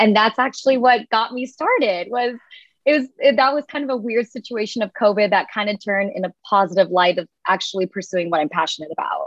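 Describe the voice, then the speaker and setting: A woman talks at a fairly quick pace with lively intonation and a fairly high pitch. It is an ordinary speaking voice. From United States, Indian-American family. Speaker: content creator. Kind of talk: casual chat.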